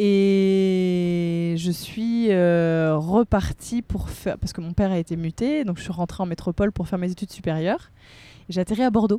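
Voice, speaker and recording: A woman's medium-pitched voice with a dark, mellow tone, at a fairly slow pace and with ordinary pitch variation. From Réunion. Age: 30s. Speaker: TV presenter and life coach. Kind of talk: casual chat. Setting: camper van on the seafront.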